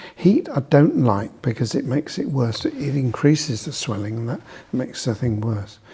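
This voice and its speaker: Noticeable background noise behind a medium-pitched male voice moving at a moderate pace. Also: ordinary pitch variation. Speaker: osteopath. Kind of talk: professional discussion.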